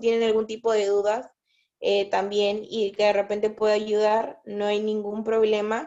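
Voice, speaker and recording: The woman's fairly high voice stays in a monotone, flat intonation. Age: 20s. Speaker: psychologist. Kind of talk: casual chat.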